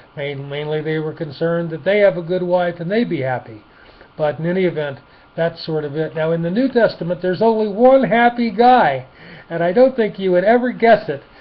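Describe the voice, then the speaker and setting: This man talks at a fairly quick pace in a high voice with lively intonation. Noticeable background noise can be heard. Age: old. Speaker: retired man giving life advice. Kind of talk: informal Bible talk. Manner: hesitant, many fillers and restarts.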